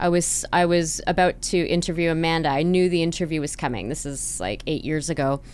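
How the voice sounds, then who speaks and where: With a Canadian accent, a woman speaks at a moderate pace and fairly low pitch with ordinary pitch variation. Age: 40s. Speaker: podcast host. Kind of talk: scripted introduction; interview. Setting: office studio with construction noise. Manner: polished podcast voice.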